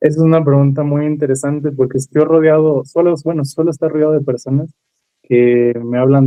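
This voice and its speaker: Intonation stays monotone and flat. The man delivers his words at a fairly quick pace. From Mexico, Mazatlán, Sinaloa. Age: 20s. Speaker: trombonist. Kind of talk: interview. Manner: halting.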